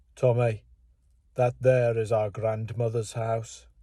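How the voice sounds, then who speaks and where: A man does a put-on character voice in a Birmingham accent, nasal and medium in pitch. His intonation is monotone and flat, and his pace is fairly slow. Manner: comic.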